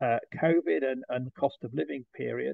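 Against a quiet background, a man with a British accent speaks at a moderate pace, the sound dry with no echo. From UK. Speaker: trade association executive. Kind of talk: presentation. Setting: video call. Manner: halting. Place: home room. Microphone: webcam.

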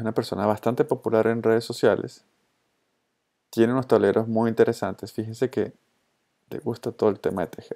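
With a Colombian accent, a man with a dark, mellow tone and medium pitch talks at a fairly quick pace in a monotone, flat intonation, broken by long, frequent pauses. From Venezuela. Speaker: social media consultor and trainer. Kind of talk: tutorial.

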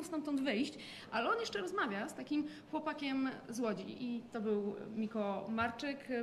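Over light background noise, a woman talks in a high voice with ordinary pitch variation. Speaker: motorsport journalist. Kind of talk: interview. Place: home room. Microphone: lapel.

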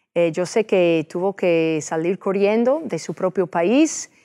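In an English accent, the speaker talks at a very slow pace in a dark, mellow tone against a quiet background. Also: woman. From United States. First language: English (speaking Spanish). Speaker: TV host, lawyer and state senator; TV host, lawyer, state senator. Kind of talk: interview. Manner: halting with many fillers. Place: studio. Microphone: lapel.

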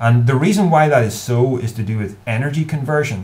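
In a Northern Irish accent, a man speaks at a fairly quick pace. His voice sits at a medium pitch and sounds somewhat breathy. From Northern Ireland. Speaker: YouTuber. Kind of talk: advice monologue to camera. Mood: earnest, thoughtful. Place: home room. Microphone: webcam.

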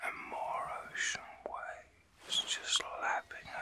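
A man's whisper, fairly slow, with a gentle, soothing tone. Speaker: reiki master and ASMR artist. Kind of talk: ASMR reiki healing session, guided relaxation. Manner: gentle, whispered, slow, soothing. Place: home room. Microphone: phone near.

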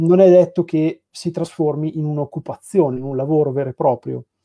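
At a moderate pace, a man speaks with a fairly high pitch and fairly even intonation against a quiet background. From Piacenza, northern Italy; northern Italy. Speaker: graphic designer at a comics publisher. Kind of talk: casual interview. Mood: calm, thoughtful. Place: home room. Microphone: video call.

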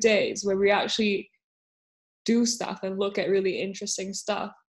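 A woman talks at a medium pitch over a quiet background. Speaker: podcast co-host. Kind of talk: casual chat. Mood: relaxed, chatty storytelling. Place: home room. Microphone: video call.

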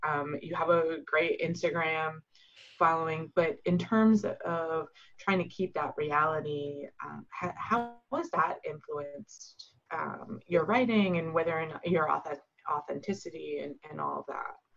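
Her voice is an ordinary speaking voice, fairly low in pitch for a woman, with ordinary pitch variation and big swings in loudness. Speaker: book club reader. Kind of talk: casual chat. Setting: video call.

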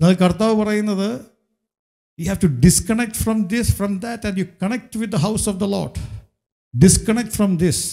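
Against a quiet background, a man's high-pitched voice carries a dark, mellow tone and fairly even intonation. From Kerala, India. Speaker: pastor. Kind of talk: sermon. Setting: church. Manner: frequent switching between Malayalam and English. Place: church. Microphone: handheld.

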